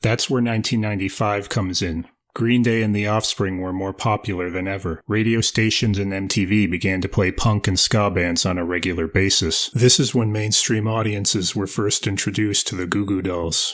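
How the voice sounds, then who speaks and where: In a very clean recording with a silent background, a man with a fairly low pitch speaks in a normal speaking voice, with fairly even intonation and hardly any pauses. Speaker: amateur video narrator. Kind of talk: music history narration. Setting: home recording on USB mic.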